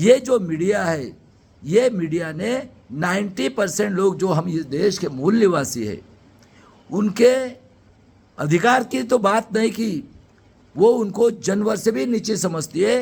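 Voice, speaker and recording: His lively intonation rides on a high pitch. The man pauses often, and his pauses run long. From Maharashtra, India (near Nagpur). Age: 60s. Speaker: retired engineer and political activist. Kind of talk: political speech. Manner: impassioned.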